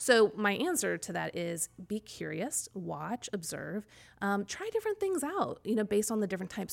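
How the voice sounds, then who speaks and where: A woman with a Midwestern American accent speaks at a moderate pace and a medium pitch. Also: very clean recording, silent background. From US Midwest (Kansas City area). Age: 40s. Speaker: personality-typing coach and author. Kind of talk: interview.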